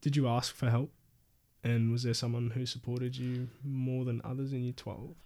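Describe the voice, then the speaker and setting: A man with an Australian accent, a dark, mellow tone, medium pitch, monotone, flat intonation and a moderate pace. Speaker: podcast host. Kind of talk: casual interview.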